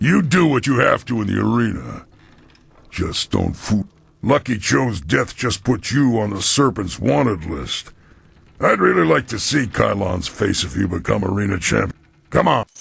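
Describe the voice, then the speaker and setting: A growling put-on character voice moves at a moderate pace through very wide pitch swings. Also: man, fairly low pitch for a man. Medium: video game. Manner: blunt, world-weary.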